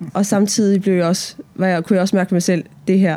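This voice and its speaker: A woman is speaking. Her pace is very fast. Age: 30s. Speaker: pastor. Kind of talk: interview. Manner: halting.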